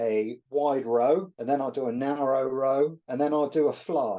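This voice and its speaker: Speaking with a British accent, the man has a fairly high pitch, a dark, mellow tone, ordinary pitch variation and a moderate pace. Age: 60s. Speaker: natural bodybuilder. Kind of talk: interview answer.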